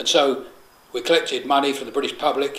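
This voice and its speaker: A man speaks in a London accent over noticeable background noise. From London, England. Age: 60s. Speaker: political activist. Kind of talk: solidarity message. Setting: private flat. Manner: hesitant, frequent fillers.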